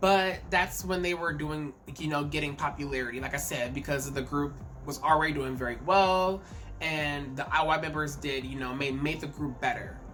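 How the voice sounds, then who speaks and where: A woman with a very deep, low pitch talks at a moderate pace with ordinary pitch variation. Music plays in the background, and audible room echo is present. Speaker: K-pop commentary YouTuber. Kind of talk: casual vlog commentary. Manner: halting, repeats words.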